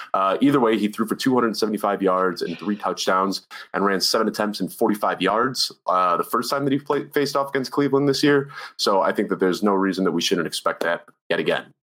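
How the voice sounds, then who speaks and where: At a fairly quick pace, a man with an ordinary speaking voice talks at a fairly low pitch, with ordinary pitch variation and very even loudness. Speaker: fantasy football writer and analyst. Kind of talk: casual chat about fantasy football analytics. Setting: video call.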